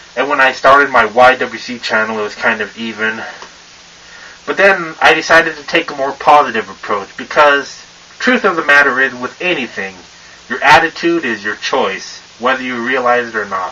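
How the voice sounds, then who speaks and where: Against noticeable background noise, a man speaks at a moderate pace with big swings in loudness. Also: medium pitch for a man, ordinary pitch variation. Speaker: wrestling vlogger. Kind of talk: casual vlog rant. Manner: stutters and stumbles on words; filler-heavy casual talk.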